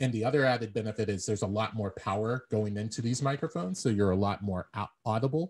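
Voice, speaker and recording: A man's somewhat breathy voice moves along at a fairly quick tempo. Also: very clean recording, silent background. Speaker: public speaking club leader. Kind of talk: tutorial.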